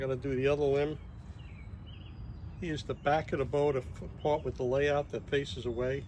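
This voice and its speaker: Somewhat breathy and fairly high, the man's voice keeps a fairly even intonation at a fairly quick pace, broken by long, frequent pauses. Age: 60s. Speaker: bowyer, woodworking video maker. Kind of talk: tutorial. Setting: outdoors workshop. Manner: casual, conversational.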